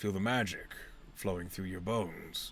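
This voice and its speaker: A raspy, put-on character voice moves at a moderate pace over clear background noise. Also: man. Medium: actual play. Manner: measured, pondering, scholarly.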